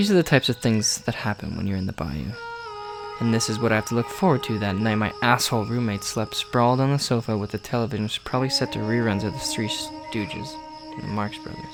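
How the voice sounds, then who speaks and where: The speech moves at a very fast pace. Music can be heard in the background. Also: man, medium pitch for a man, ordinary pitch variation. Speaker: creepypasta reader / amateur narrator. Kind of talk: horror story reading (creepypasta). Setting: home recording with a new microphone.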